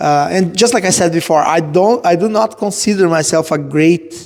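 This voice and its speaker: A man with a Portuguese accent speaks at a high pitch and moderate pace with ordinary pitch variation. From southern Brazil. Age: 30s. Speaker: musician and martial arts student. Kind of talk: casual interview chat. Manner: halting.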